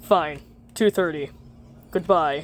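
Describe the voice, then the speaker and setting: This is a cartoonish character voice that sounds female. The pitch is fairly low for a woman. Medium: puppet show. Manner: blunt, sarcastic, curt.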